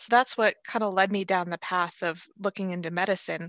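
A fairly quick-paced woman with an American accent, in a dry, close sound with no echo. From Los Angeles, California. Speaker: medical student. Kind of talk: interview. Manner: halting, many restarts and fillers.

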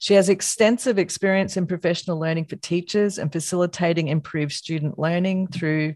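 A woman's fairly low voice in an Australian accent, fairly quick, with fairly even intonation and a dry, close sound with no echo. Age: 50s. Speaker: podcast host, academic. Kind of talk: reading a guest bio; interview.

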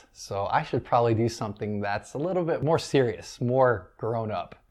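A man speaks in an unremarkable speaking voice at medium pitch with ordinary pitch variation. The background is quiet. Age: 30s. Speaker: wedding DJ and business owner. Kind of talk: casual interview.

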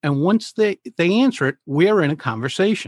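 The recording is very clean, with a silent background and a dry, close sound with no echo. An ordinary speaking voice moves at a moderate pace with lively intonation. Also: man. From US Northeast, Providence, Rhode Island. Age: 60s. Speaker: public speaking coach. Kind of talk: interview.

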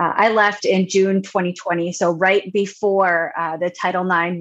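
Here is a woman with an ordinary speaking voice and an American accent. Her pitch is fairly low and her intonation fairly even. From Long Island, New York. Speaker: education researcher and university administrator. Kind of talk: interview.

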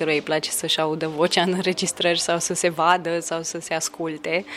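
A woman with a fairly low pitch talks while noticeable background noise fills the recording. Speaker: poet. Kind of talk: casual chat. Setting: hotel lobby. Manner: soft-spoken.

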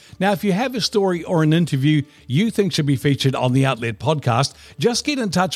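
A man with a New Zealand accent speaks at a fairly quick pace, fairly high in pitch and somewhat breathy, with lively intonation. The recording is very clean with a silent background. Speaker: radio host. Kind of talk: podcast interview.

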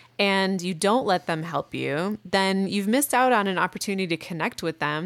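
A woman with an American accent in an ordinary speaking voice, fairly quick in pace, with ordinary pitch variation. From US Midwest. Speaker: podcast co-host, relationship advice. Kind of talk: casual advice chat.

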